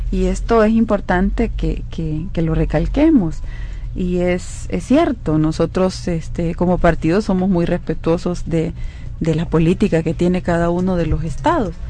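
Fairly slow speech from a woman, with audible room echo around her. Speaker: legislator. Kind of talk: radio interview.

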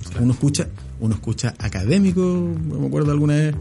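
A man talks at a very fast pace. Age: 40s. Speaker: political analyst. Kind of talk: interview.

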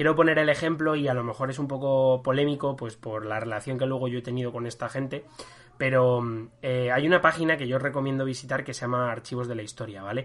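With fairly even intonation, a man at medium pitch talks at a very fast pace. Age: 20s. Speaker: history podcast host. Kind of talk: casual chat. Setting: recording from home. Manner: halting.

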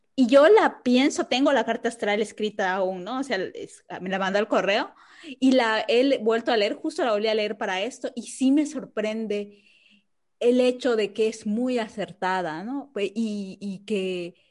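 A woman's fairly high-pitched, plain, everyday voice at a fairly slow pace with ordinary pitch variation. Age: 30s. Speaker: podcast co-host. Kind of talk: casual chat.

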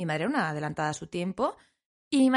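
A woman talks at a very fast pace with very wide pitch swings. The sound is dry and close with no echo, over a quiet background. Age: 20s. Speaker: podcast co-host. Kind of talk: casual chat.

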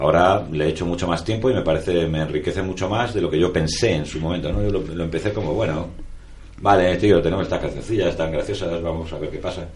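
A man speaks with a very deep, low voice and ordinary pitch variation. Room echo is audible. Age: 40s. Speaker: musician and writer. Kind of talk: interview.

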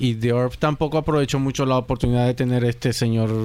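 Speaking in a monotone, flat intonation, a man talks at a fairly quick pace. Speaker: music podcast panelist. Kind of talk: casual chat.

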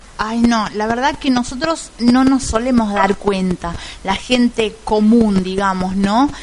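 With noticeable background noise, a woman talks at a very slow pace in a fairly high pitch with ordinary pitch variation. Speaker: radio host. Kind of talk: interview.

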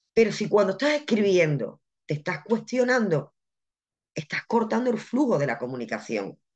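Vocal fry marks this woman's medium-pitched voice. She moves at a moderate pace with very wide pitch swings. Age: 30s. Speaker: medium and spiritual mentor. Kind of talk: interview. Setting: live video stream.

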